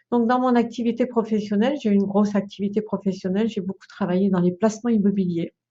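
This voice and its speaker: A woman's somewhat breathy voice at medium pitch, fairly quick, with monotone, flat intonation. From France, Brittany countryside. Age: 60s. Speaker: feng shui consultant and trainer. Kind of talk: video presentation. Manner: hesitant, many fillers.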